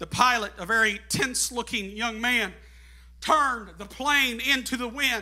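With audible room echo behind him, a man speaks in a raised, projected voice at an extremely high pitch, his tone bright and sharp, his loudness swinging widely, his pace fairly slow. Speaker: guest preacher. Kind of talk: Pentecostal sermon, climactic call-and-response exhortation to the congregation; sermon illustration, storytelling. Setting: church with congregation. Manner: preaching at full volume, voice strained and going; fervent, shouting with rising, rhythmic repetition.

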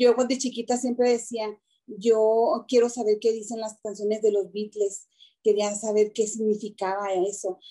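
A woman speaks at a fairly slow pace and fairly high pitch, with a dark, mellow tone and monotone, flat intonation. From Mexico, Chihuahua. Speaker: entrepreneur and party clown. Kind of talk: interview.

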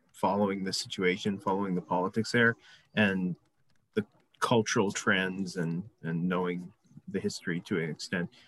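In a dry, close sound with no echo, a man talks with ordinary pitch variation. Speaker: audience member. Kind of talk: audience question. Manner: halting.

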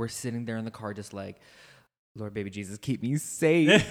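Using a normal speaking voice, a man talks at a fairly quick pace with an American accent. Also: very clean recording, silent background. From rural United States. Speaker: podcast co-host. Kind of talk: casual chat.

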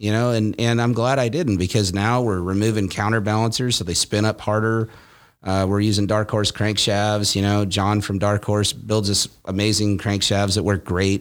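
Here a man speaks at a fairly low pitch in a monotone, flat intonation. The recording is very clean, with a silent background. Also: moderate pace, very even loudness. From Nebraska, US Midwest. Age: 40s. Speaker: motorcycle performance shop owner. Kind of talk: casual chat. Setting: studio.

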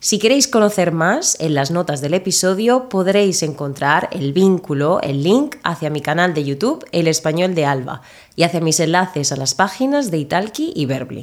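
Moderate pace with hardly any pauses. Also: woman, fairly low pitch for a woman. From Murcia, southeastern Spain. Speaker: Spanish teacher, podcast co-host. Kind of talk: casual interview conversation; scripted intro.

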